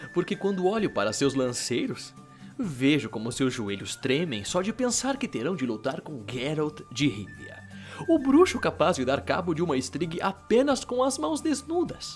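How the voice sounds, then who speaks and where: Over clear music in the background, a man puts on a whiny character voice at a fairly high pitch, with very wide pitch swings at a moderate pace. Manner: mocking, talkative, whiny.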